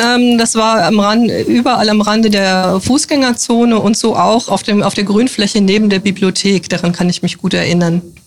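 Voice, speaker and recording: In a plain, everyday voice, a woman speaks at a moderate pace and medium pitch with ordinary pitch variation and hardly any pauses. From northern Hesse, Germany. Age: 50s. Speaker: politician. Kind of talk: interview.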